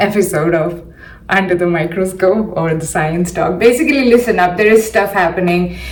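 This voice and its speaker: Amid noticeable background noise and audible room echo, a woman with an Indian accent speaks at a medium pitch with ordinary pitch variation. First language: not English (English is her third language). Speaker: science podcaster. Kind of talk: solo commentary podcast. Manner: halting, many fillers and repeats.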